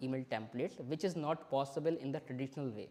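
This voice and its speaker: A man with an Indian accent, fairly high in pitch, at a very fast pace and with fairly even intonation. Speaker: software developer and company founder. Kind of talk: tech talk demo at a meetup. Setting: live-streamed meetup presentation.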